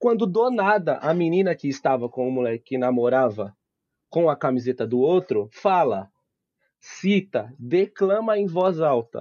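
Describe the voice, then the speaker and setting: Dry and close with no echo, a man's fairly high voice has a dark, mellow tone and very wide pitch swings. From Osasco, São Paulo, Brazil. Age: 20s. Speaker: podcast guest. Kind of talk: casual chat with storytelling.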